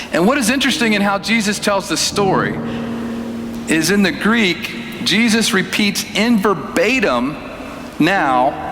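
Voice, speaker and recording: A man's high-pitched voice, lively in intonation and very even in loudness, at a fairly slow pace over noticeable background noise. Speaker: preacher. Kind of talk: sermon.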